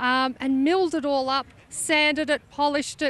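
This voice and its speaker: A woman speaks with an Australian accent at a high pitch. Her tone is bright and sharp, and her pace is moderate. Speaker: classic truck owner. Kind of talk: interview.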